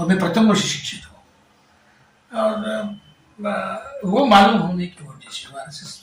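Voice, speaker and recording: In a Marathi accent, the speaker is heard with audible room echo and noticeable background noise. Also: man. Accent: Marathi-accented Hindi. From Maharashtra. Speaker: folk singer. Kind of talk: interview. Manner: halting.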